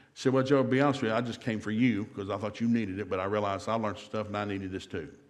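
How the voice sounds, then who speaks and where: With audible room echo, a man speaks very fast at a fairly low pitch. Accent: American. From US South. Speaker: marriage seminar speaker. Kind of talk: seminar talk. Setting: church seminar with live audience. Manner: animated.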